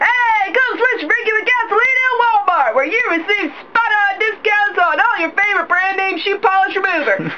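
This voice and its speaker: Over noticeable background noise, a woman speaks in a raised, projected voice at an extremely high pitch, with ordinary pitch variation and hardly any pauses. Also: moderate pace, very even loudness. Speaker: voice actor. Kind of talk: mock commercial read. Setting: studio.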